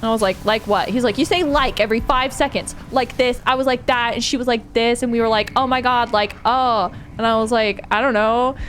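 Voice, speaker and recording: Talking at a fairly quick pace with hardly any pauses, a woman with an American accent uses a high pitch, an animated tone and very even loudness, with music in the background. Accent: strong Californian valley girl. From California. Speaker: streamer. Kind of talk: casual chat.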